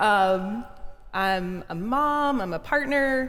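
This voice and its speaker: The speaker talks at a very slow pace with an American accent. Room echo is audible. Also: woman. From US South, small-town Georgia. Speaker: minister and advocate. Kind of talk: live interview before an audience. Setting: in-person gathering with audience.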